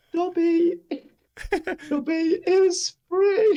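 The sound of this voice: The pitch is extremely high. It comes from a put-on character voice.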